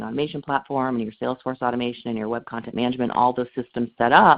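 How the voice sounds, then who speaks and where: A woman with a very deep, low pitch at a very fast pace. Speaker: marketing research analyst. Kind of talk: webinar presentation.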